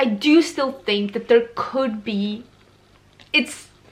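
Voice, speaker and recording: Her voice is high-pitched, and the woman talks at a moderate pace. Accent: non-native. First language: not English. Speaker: book reviewer. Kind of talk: casual book review vlog. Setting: bedroom, filming in natural daylight. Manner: casual, conversational with self-corrections.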